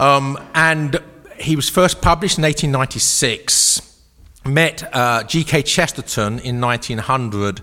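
A man speaks in an English accent at a fairly high pitch. He goes at a fairly slow pace with ordinary pitch variation. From England. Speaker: author and speaker. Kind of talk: lecture. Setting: stage with audience. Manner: humorous, conversational.

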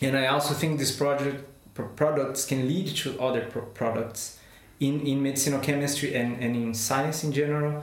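In a room with audible echo and noticeable background noise, a man with a Portuguese accent speaks in a fairly high, monotone, flat voice at very even loudness. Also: moderate pace. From Brazil. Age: 30s. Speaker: chemist, postdoctoral researcher. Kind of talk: interview. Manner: halting.

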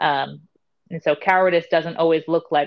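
Fairly quick in pace, a woman speaks with a very deep, low pitch. Her intonation stays fairly even. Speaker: spiritual wellness podcast co-host. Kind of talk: casual chat.

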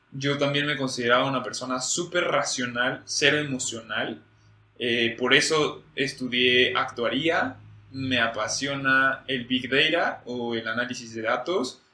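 His pace is fairly slow. The man holds a medium pitch with fairly even intonation. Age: 20s. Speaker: podcast co-host. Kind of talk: casual chat.

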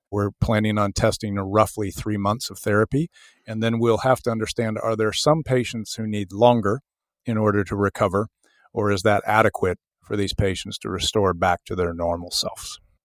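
A man with an American accent speaks in a plain, everyday voice at a fairly low pitch, with a moderate pace and fairly even intonation. The sound is dry and close with no echo, on a very clean recording with a silent background. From US South (Memphis, Tennessee). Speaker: biotech company CEO. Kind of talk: interview.

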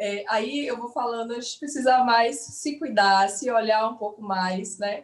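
Fairly slow, fairly high-pitched speech from a woman, with ordinary pitch variation and hardly any pauses. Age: 30s. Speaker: nurse. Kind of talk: online live interview. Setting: online live stream.

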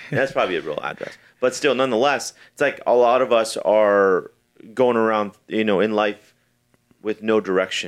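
Over a quiet background, a man with a plain, everyday voice talks at medium pitch and a moderate pace, with ordinary pitch variation. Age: 40s. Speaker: real estate investor and podcast host. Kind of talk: casual chat. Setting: studio.

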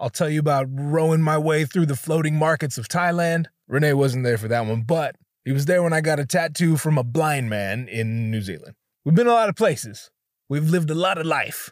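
A very clean recording with a silent background, carrying lively intonation. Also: man, fairly high pitch for a man. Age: 20s. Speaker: podcast host. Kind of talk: casual storytelling monologue. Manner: animated.

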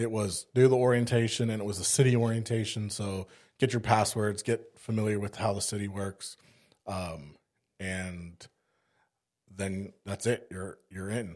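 With an unremarkable speaking voice, this man talks at a moderate pace in a fairly low pitch and fairly even intonation, on a very clean recording with a silent background. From South Africa (Cape Town), moved to East Texas at 15. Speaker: firefighter. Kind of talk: casual chat.

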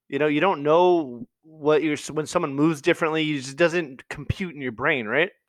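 A man with an ordinary speaking voice talks at a fairly quick pace and fairly high pitch, using ordinary pitch variation and hardly any pauses against a quiet background. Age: 30s. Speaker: podcast host and boxer. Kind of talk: casual chat. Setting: video call.

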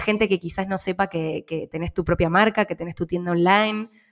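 A woman speaks in an unremarkable speaking voice. She keeps a moderate pace with ordinary pitch variation. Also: very clean recording, silent background. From Argentina. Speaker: podcast host. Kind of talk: interview.

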